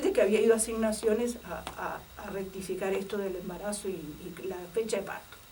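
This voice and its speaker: Amid noticeable background noise and audible room echo, a woman talks at a moderate pace with big swings in loudness and hardly any pauses. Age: 60s. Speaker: retired secondary school worker and former political persecution witness. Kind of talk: testimony. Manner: halting, many fillers.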